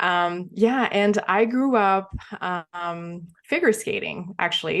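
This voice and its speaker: Against a quiet background, a woman in a Quebec accent speaks with ordinary pitch variation. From Quebec, small town near Montreal. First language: French. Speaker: entrepreneur, former figure skater. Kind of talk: podcast interview. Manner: hesitant, many fillers.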